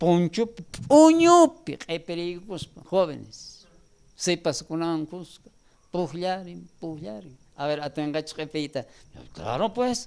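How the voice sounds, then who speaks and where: Pitched high for a man, this male speaker goes rather slowly, with a lot of movement in his intonation. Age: 70s. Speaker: preacher. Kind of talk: sermon.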